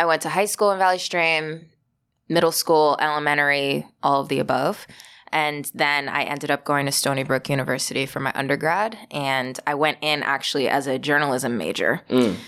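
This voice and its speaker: With an American accent, a woman speaks at a very deep, low pitch with ordinary pitch variation. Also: moderate pace. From Long Island, New York. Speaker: playwright. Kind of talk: interview.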